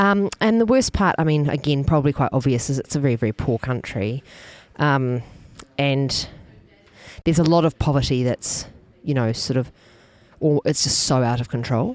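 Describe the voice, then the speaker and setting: Delivered with a New Zealand accent, the speech moves at a moderate pace with lively intonation and long, frequent pauses. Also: woman, very deep, low pitch for a woman. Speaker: food festival organiser. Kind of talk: casual interview chat.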